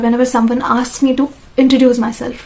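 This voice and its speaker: Talking at a very fast pace over noticeable background noise, a woman keeps her high voice in a flat monotone. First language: non-English mother tongue (trilingual). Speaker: vlogger. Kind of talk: casual monologue to camera. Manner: halting, self-correcting.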